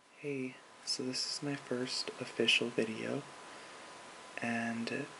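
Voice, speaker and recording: Over noticeable background noise, a man talks at a very slow pace in a relaxed tone. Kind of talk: ASMR soft-spoken talk to camera. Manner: soft-spoken, relaxed, casual.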